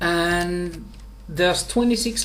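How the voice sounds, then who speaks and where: The speaker talks at a very slow pace over noticeable background noise. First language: Finnish. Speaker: software engineer. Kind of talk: tutorial. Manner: halting.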